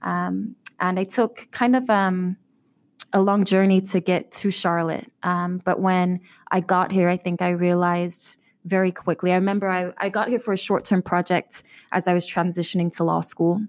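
The delivery comes at a moderate pace, with flat, monotone intonation and very even loudness. The recording is very clean, over a silent background. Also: woman, medium pitch for a woman. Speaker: community organization director. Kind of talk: interview conversation.

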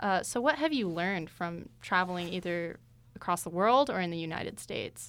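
In a very clean recording with a silent background, a woman with an American accent and an unremarkable speaking voice talks at a fairly quick pace, her pitch fairly low and its variation ordinary. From Tucson, Arizona. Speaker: student radio host. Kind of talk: interview.

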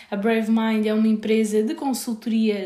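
A woman speaks with a European Portuguese accent at a fairly high pitch. Her pace is moderate. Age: 20s. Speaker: podcast host, recruiter. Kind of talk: solo podcast monologue.

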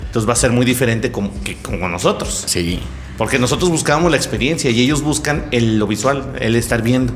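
Backed by music and audible room echo, a man with a Mexican accent talks in an animated tone at medium pitch and a fairly quick pace, with ordinary pitch variation. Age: 30s. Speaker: podcast host. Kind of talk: casual chat.

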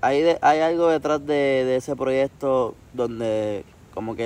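A man with a plain, everyday voice talks at a fairly slow pace, his medium pitch held in fairly even intonation. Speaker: podcast host. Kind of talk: casual chat.

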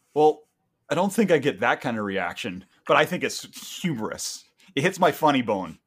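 A man with a Canadian accent at a moderate pace, fairly high in pitch, with very wide pitch swings and vocal fry. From Canada. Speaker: podcast co-host. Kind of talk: casual chat.

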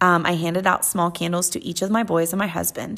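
A woman with an American accent and an ordinary speaking voice, fairly low in pitch, fairly quick, with fairly even intonation, on a very clean recording with a silent background. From Western Pennsylvania, US. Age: 30s. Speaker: podcast host, mother. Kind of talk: casual monologue.

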